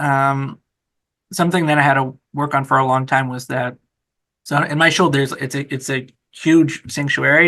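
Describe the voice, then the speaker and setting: Monotone, flat intonation from a man, fairly high-pitched and bright, sharp in tone, against a quiet background. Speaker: rabbi. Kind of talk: interview. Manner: fast; hesitant, many fillers.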